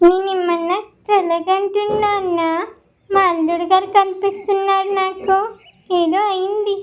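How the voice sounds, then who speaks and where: A woman performs a cartoonish character voice at an extremely high pitch, speaking at a fairly slow pace with monotone, flat intonation. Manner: gentle, affectionate.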